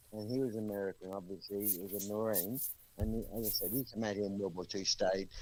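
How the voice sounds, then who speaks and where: With an Australian accent, this voice shows ordinary pitch variation. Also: man. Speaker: live stream participant. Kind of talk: casual chat.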